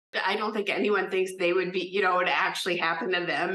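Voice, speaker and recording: Against noticeable background noise, a woman with a slight Minnesota accent rattles off words at a very fast pace in a medium pitch, her intonation monotone and flat. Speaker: disease survivor. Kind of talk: testimony. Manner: hesitant, many fillers.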